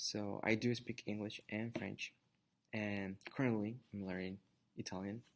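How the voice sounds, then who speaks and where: Speaking with a Spanish accent, a man keeps a fairly slow pace. His fairly low voice stays monotone, with flat intonation. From Mexico, Zacatecas. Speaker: Spanish teacher. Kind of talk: class introduction talk. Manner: halting, many fillers.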